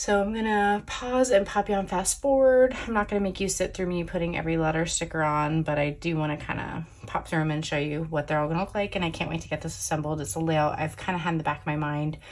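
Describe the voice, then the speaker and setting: A woman speaks at a very fast pace with hardly any pauses. Her pitch is fairly low and her intonation lively. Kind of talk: tutorial.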